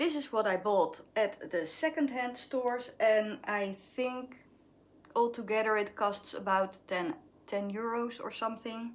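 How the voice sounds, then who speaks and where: A woman with a Dutch accent speaks at a fairly slow pace, her fairly high pitch showing ordinary variation. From Netherlands. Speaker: craft vlogger. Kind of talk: casual vlog show-and-tell. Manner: halting, searching for words.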